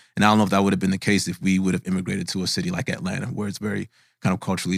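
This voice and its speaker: A man with a very deep, low pitch talks at a very fast pace, with vocal fry. The recording is very clean, with a silent background. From Minnesota, US (born in Nigeria, moved at five). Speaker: tech startup founder and CEO. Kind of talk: interview. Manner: conversational, many fillers.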